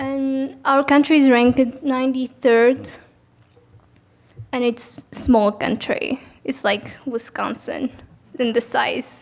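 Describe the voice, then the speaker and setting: A woman speaks very slowly in a high pitch with an Arabic accent. Her intonation stays fairly even, broken by long, frequent pauses. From Tunisia. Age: 20s. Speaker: student. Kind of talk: presentation.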